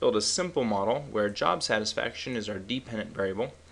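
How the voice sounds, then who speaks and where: At a moderate pace comes a plain, everyday voice. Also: man. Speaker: statistics tutorial instructor. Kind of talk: software tutorial. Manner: casual.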